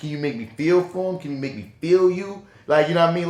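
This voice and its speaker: A man's fairly high voice with a New Orleans accent. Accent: New Orleans accent, moderate. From New Orleans, Louisiana. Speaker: podcast co-host, film and TV reviewer. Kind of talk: casual chat. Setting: podcast recording. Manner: animated.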